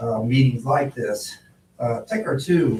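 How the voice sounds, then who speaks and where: The speaker is a man with an American accent. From Ohio. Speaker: public commenter at a zoning hearing. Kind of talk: public comment testimony. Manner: loud; animated.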